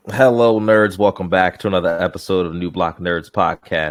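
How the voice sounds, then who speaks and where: A man speaks at a fairly quick pace. His pitch is very deep and low, and his intonation stays fairly even. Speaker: podcast host. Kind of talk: casual chat.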